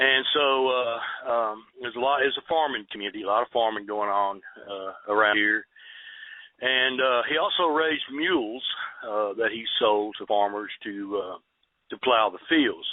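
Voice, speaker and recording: A man with a Texan accent, medium pitch, ordinary pitch variation and a moderate pace. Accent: Texan Southern US. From Southeast Texas. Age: 60s. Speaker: eyewitness storyteller. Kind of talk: interview. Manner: halting, many fillers.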